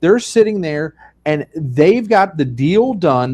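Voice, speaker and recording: Very wide pitch swings from a man with a fairly high pitch, a dark, mellow tone and a moderate pace. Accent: Pennsylvania. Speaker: funeral director and show host. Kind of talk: video podcast conversation.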